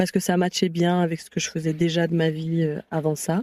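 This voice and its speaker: A woman speaks at a moderate pace in a fairly low pitch with a dark, mellow tone. Her intonation is monotone and flat, and the sound is dry and close with no echo. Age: 20s. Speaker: activist and content creator. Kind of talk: interview conversation.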